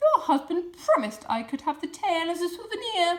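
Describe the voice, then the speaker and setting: Squeaky and put-on, the character voice leaps through very wide pitch swings at a moderate pace. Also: woman, extremely high pitch for a woman. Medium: read story.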